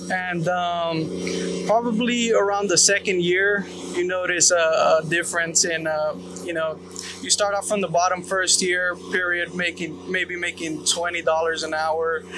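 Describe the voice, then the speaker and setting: The speech moves at a fairly slow pace with fairly even intonation. Background noise is noticeable. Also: man, high pitch for a man. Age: 20s. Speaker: ironworker apprentice. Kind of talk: on-site interview. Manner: hesitant, many fillers.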